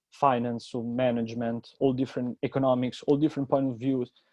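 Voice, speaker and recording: A man with an Italian accent talks at a fairly quick pace in a monotone, flat intonation. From Italy, Rome. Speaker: university student. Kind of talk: presentation.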